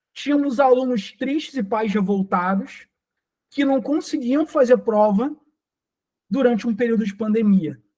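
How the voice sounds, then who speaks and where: With a Rio de Janeiro accent, a man speaks at a fairly slow pace with long, frequent pauses, his extremely high pitch showing ordinary variation and a dark, mellow tone. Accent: Rio de Janeiro Brazilian Portuguese. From Rio de Janeiro, Brazil. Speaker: software engineer and tech speaker. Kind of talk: conference talk.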